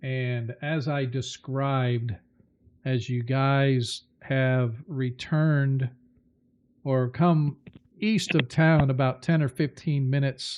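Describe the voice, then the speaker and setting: Very slow pace and fairly even intonation. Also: man, medium pitch for a man. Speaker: game master. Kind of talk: tabletop roleplay narration. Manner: loud.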